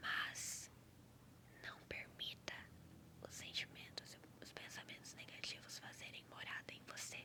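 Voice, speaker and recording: The speaker whispers at a fairly slow pace in a calm, gentle tone. Long pauses come often. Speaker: ASMR creator. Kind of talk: ASMR reflective talk, calming monologue. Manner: soft, calm, gentle.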